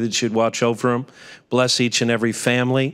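At a moderate pace, a man speaks in a monotone, flat intonation against a quiet background. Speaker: pastor giving invocation. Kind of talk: prayer. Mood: calm, reverent. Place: hall. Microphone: podium.

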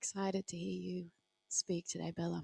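At a very slow pace, a woman talks. She has an Australian accent. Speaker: service co-host. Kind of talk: church service hosting and prayer. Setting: church hall, livestreamed. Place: stage.

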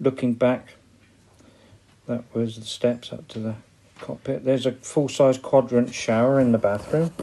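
A man with a West Country accent, medium pitch, a dark, mellow tone, fairly even intonation, a moderate pace, big swings in loudness and long, frequent pauses. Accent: West Country (wurzel). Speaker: narrowboat owner. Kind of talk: amateur video home tour. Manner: casual, hesitant.

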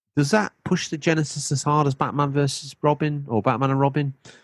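With a British accent and a fairly high pitch, the man speaks at a moderate pace in a dry, close sound with no echo. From UK. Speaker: gaming podcast host. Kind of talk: casual chat.

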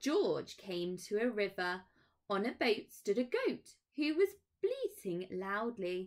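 The background stays quiet. A natural reading voice carries the clip.

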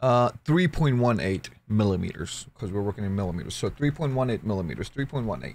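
Speaking at a moderate pace with hardly any pauses, a man uses lively intonation in a fairly low voice. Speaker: 3D printing hobbyist YouTuber. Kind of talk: tutorial. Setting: screen recording with voiceover. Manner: casual, chatty. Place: home room. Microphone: studio mic.

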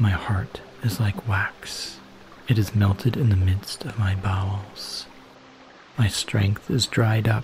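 A man speaks very slowly in a gentle, calm tone, with a fairly low pitch and fairly even intonation. Noticeable background noise sits behind him. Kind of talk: calm scripture reading for relaxation and sleep. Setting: background waterfall sounds. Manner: soft, gentle, calm.

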